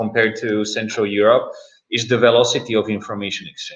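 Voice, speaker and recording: This is a man speaking. His pace is moderate. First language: Czech. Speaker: startup investor. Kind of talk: panel discussion. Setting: live-streamed virtual event. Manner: hesitant, many fillers.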